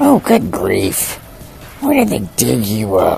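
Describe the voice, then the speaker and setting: A put-on character voice moves at a fairly slow pace. Clear background noise sits behind it. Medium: voice reel. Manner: sarcastic, exasperated.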